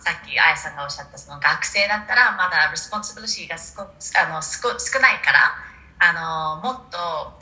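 Lively intonation at a moderate pace, big swings in loudness, and noticeable background noise. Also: woman. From New Zealand. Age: 40s. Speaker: corporate recruiting director. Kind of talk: casual interview.

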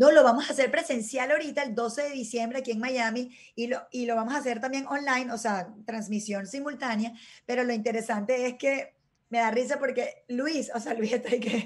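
A woman speaks in a high pitch. Her intonation is fairly even. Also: fairly quick pace. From Venezuela. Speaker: former beauty queen, TV presenter. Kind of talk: casual chat.

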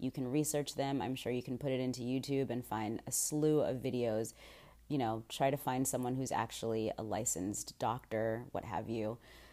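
A woman speaks at a moderate pace with a very deep, low pitch and a dark, mellow tone. Her intonation is fairly even, and the recording is very clean with a silent background. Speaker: solo podcast host. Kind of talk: casual monologue. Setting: unfamiliar room, keeping voice down. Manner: quieter than usual.

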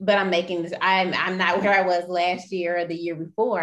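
A woman talks at a moderate pace with a fairly low pitch. She has an ordinary speaking voice. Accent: American. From US South, Mobile, Alabama. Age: 20s. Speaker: public health worker. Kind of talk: casual chat.

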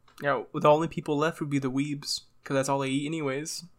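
A man speaks at a fairly quick pace in a fairly high voice. His intonation is flat and monotone, and the recording is very clean with a silent background. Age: 20s. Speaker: podcast co-host. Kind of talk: casual chat.

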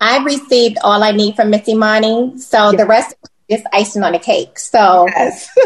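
This woman has an ordinary speaking voice, fairly high in pitch, with an American accent and ordinary pitch variation. She keeps a moderate pace and very even loudness. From US East Coast. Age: 50s. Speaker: podcast co-host. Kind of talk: casual chat.

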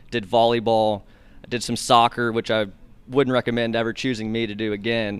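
The voice belongs to a man with a medium pitch. He speaks very fast. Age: 20s. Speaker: sports broadcaster. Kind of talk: casual interview.

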